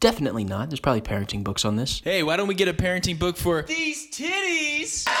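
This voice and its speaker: With an American accent, a man talks very fast with hardly any pauses. Noticeable background noise can be heard. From New Jersey. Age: 20s. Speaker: comedy podcast host. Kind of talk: comedic monologue. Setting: parents' home. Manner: animated.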